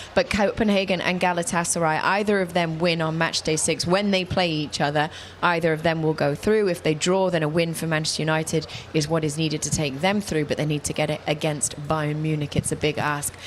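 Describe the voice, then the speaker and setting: With noticeable background noise, a woman speaks at a fairly quick pace in a very deep, low pitch and fairly even intonation. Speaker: football presenter. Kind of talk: studio football analysis show.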